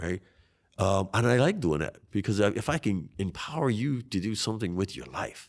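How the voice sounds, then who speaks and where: Speaking with a Hawaiian accent, a man uses a fairly low pitch and lively intonation at a moderate pace. The recording is very clean, with a silent background. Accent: Hawaii local English. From Hawaii, Waianae (Oahu West Side). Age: 50s. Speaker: congressional candidate. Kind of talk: interview. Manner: animated.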